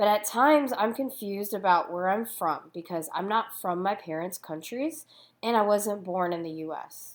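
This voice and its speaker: A woman talks at a moderate pace with medium pitch and lively intonation, in a plain, everyday voice. The recording is very clean, with a silent background. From United States. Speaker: youth ministry speaker. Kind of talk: prepared talk.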